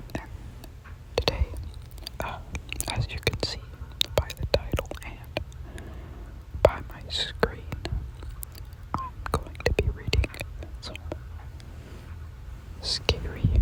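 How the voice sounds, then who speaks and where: Someone whispers at a very slow pace, leaving long, frequent pauses, with noticeable background noise. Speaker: ASMR creator. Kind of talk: scary story reading. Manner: whispered.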